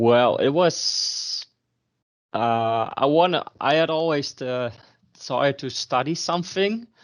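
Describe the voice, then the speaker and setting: Very slow male speech over a quiet background. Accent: Dutch. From Netherlands. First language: Dutch. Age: 30s. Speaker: student. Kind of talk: interview. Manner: hesitant, many fillers.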